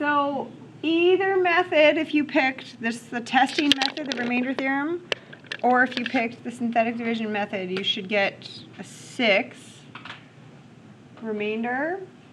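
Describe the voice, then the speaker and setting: A woman's high-pitched voice with lively intonation, at a moderate pace with long, frequent pauses, over noticeable background noise. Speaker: math teacher. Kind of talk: classroom lecture. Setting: classroom.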